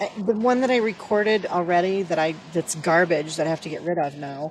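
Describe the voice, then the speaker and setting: Fairly low woman's voice with ordinary pitch variation. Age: 60s. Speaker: reseller vlogger. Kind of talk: casual vlog monologue. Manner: rambling with many fillers.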